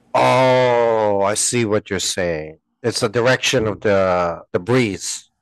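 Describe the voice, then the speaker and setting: A man with a Filipino accent talks at a very slow pace. His pitch is fairly low, with ordinary variation. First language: Tagalog. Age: 40s. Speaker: podcast co-host. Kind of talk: casual chat.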